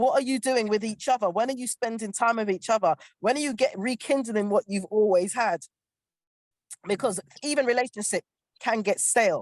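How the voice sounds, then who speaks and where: A woman with a fairly high pitch speaks at a fairly quick pace in an animated, passionate tone, with ordinary pitch variation. She leaves long, frequent pauses, and the sound is dry and close with no echo. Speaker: panel guest on relationship show. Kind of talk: panel discussion. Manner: fast.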